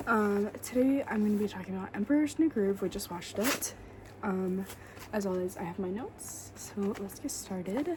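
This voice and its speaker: A woman speaks quietly at a moderate pace. Her pitch is medium, with ordinary variation. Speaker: podcast host. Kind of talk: casual solo podcast talk. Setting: at home, roommate asleep nearby. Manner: quiet, hushed; hesitant, filler-heavy. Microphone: quiet recording.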